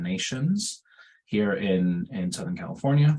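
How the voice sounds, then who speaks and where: Medium pitch from a man, marked by very wide pitch swings. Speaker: pediatrician and researcher. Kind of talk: webinar lecture. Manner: fast; hesitant with fillers.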